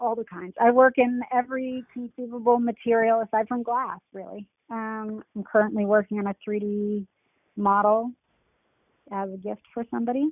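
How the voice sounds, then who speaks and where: A woman's fairly high, plain, everyday voice, a plain, everyday voice with fairly even intonation and big swings in loudness. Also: moderate pace. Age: 30s. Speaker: dating show guest, artist. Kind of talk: casual interview.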